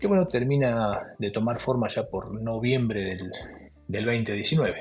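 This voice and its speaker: Over music in the background, a man with an Argentine accent speaks at medium pitch and a moderate pace. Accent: Rioplatense Argentine Spanish. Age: 60s. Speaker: former footballer. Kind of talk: interview. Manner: hesitant, with repetitions.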